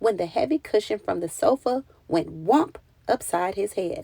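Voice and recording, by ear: In a dry, close sound with no echo, a woman speaks at medium pitch with lively intonation, vocal fry, a slightly husky edge and a slightly mellow tone.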